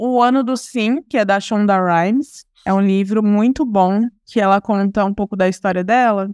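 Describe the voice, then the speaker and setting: On a very clean recording with a silent background, a woman uses a plain, everyday voice at a moderate pace and very even loudness. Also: medium pitch for a woman, ordinary pitch variation. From Ribeirão Preto, interior of São Paulo, Brazil. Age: 20s. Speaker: diversity and inclusion professional, entrepreneur. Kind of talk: casual interview.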